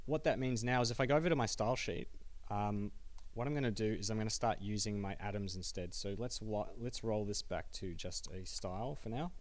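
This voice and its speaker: Speaking with an Australian accent, a man has a medium pitch and ordinary pitch variation. He talks at a fairly quick pace with audible room echo. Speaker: software developer giving a meetup talk. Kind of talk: technical talk with live coding demo. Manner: fast.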